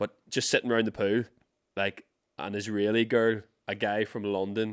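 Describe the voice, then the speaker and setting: A man with an Irish accent speaks at a moderate pace in a fairly low, flat monotone, the sound dry and close with no echo. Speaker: podcast host. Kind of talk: casual chat. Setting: studio.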